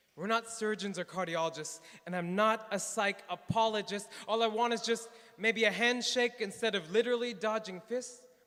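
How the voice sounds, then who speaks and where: A man's raised, projected voice, high-pitched with a bright, sharp tone, fairly even intonation and a moderate pace. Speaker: psychiatry resident. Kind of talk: slam poetry performance.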